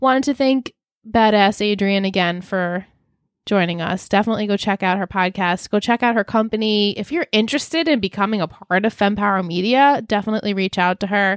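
This woman talks at a fairly quick pace in an animated tone, her medium pitch moving with ordinary variation. The recording is very clean, with a silent background. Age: 30s. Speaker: podcast co-host. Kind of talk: casual chat.

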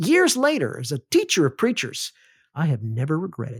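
On a very clean recording with a silent background, a man with an American accent and a fairly high pitch talks at a moderate pace, somewhat breathy, with lively intonation. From US South, Alabama. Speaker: seminary professor and podcast host. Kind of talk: lecture-style monologue.

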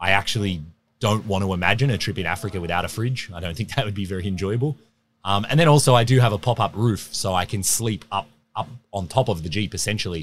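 The talk runs at a very fast pace in an Australian accent, with ordinary pitch variation, on a very clean recording with a silent background. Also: man, fairly low pitch for a man. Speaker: overland traveler and adventurer. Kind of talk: casual interview chat. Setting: recorded at an outdoor expo event.

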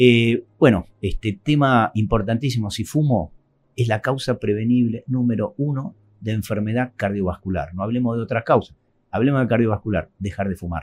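The speaker is a man with a medium pitch. He keeps a moderate pace with ordinary pitch variation. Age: 60s. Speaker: cardiologist. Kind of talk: interview. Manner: hesitant, many fillers.

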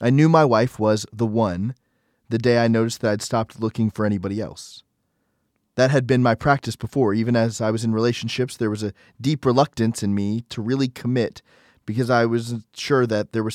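A normal speaking voice at a fairly quick pace with fairly even intonation, in a very clean recording with a silent background and a dry, close sound with no echo. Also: man. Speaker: devotional podcast host. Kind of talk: dramatic narration; devotional reading. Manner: solemn, earnest, reverent.

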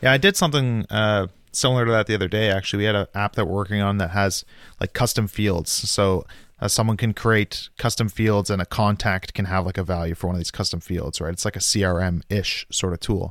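On a very clean recording with a silent background, a man with an unremarkable speaking voice talks fairly quickly at a fairly low pitch with fairly even intonation. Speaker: podcast host. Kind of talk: casual tech interview chat. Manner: casual, conversational.

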